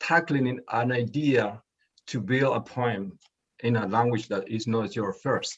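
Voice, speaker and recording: A man is speaking. He has a Spanish accent. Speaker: poet. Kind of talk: interview. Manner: halting.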